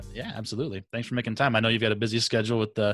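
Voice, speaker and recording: In a dry sound with no echo, a man talks with a Midwestern American accent. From US Midwest. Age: middle-aged. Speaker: podcast host. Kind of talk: interview conversation. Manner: enthusiastic. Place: home room. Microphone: studio mic.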